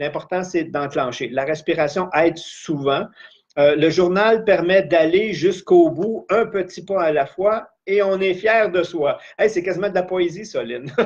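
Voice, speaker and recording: Talking at a fairly slow pace, a man speaks with a high pitch. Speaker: life coach / trainer. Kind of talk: live-streamed training session.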